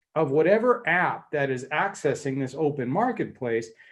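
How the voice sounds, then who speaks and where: Over a quiet background, a man with an unremarkable speaking voice and an American accent talks at a moderate pace with lively intonation. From United States. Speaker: panel speaker, mobility company executive. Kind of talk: panel debate presentation. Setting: online conference session.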